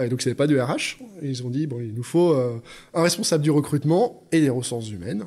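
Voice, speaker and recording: Delivered at a fairly quick pace with ordinary pitch variation, this is a normal speaking voice. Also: man, fairly high pitch for a man. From France, Lyon. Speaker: HR director. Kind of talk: interview.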